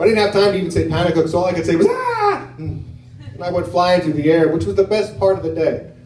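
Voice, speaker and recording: A man speaks with an American accent. There is audible echo from the room. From United States. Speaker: stand-up comedian. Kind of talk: stand-up. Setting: stage with audience.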